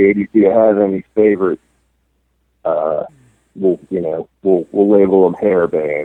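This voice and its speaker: A man speaks with an American accent at a moderate pace. His pitch is fairly low and his intonation fairly even. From Baltimore, Maryland, US. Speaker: listener sending audio message. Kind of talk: recorded voice message.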